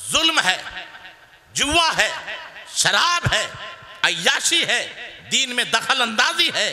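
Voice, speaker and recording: With noticeable background noise behind him, a man speaks at an extremely high pitch with lively intonation, very even loudness, and long, frequent pauses. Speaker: Islamic cleric. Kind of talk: religious sermon.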